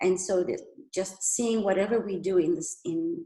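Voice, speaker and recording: This woman speaks at medium pitch with a dark, mellow tone and a somewhat breathy quality. Her intonation is lively and her pace moderate. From Iran. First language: Persian (Farsi). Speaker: migrant storyteller. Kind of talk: personal testimony talk.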